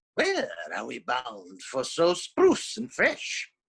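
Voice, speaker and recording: A put-on character voice at a very slow pace. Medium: read story.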